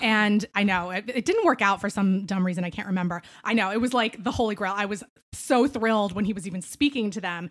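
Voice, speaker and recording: A woman's ordinary speaking voice with an American accent, medium in pitch with ordinary pitch variation, fairly quick and with hardly any pauses. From Philadelphia. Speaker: beauty writer. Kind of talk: casual chat.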